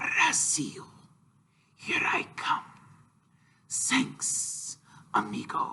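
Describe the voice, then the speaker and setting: A man whispers in a hissing, put-on character voice at a very slow pace. Long, frequent pauses break up his speech. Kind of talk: casual, friendly.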